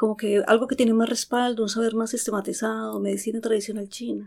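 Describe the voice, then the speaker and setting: A woman with a fairly high pitch and a dark, mellow tone speaks at a fairly quick pace. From Colombia, Antioquia. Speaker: psychologist and acupuncturist. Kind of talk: interview. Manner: halting.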